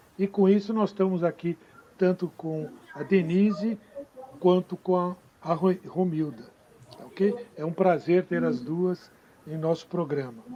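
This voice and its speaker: A man speaks at a fairly slow pace with a high pitch and ordinary pitch variation. His loudness swings widely, long pauses come often, and background noise is noticeable. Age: 70s. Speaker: live stream host. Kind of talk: live interview.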